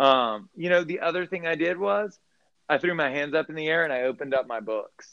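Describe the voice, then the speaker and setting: A man with an American accent talks in a normal speaking voice at a fairly quick pace, his fairly high pitch showing ordinary variation. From US South, Baton Rouge, Louisiana. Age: 40s. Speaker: restaurant owner. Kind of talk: casual chat.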